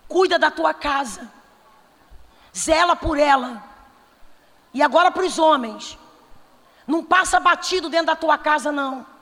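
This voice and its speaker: A woman speaks in an animated tone with a high pitch at a fairly slow pace. Long pauses come often, and background noise is noticeable. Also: ordinary pitch variation. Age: 40s. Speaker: pastor. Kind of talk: sermon.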